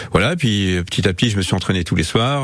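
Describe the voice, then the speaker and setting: Noticeable background noise sits behind this recording. The man speaking has a very deep, low pitch. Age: 60s. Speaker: football coach. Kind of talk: radio interview. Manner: hesitant, many fillers.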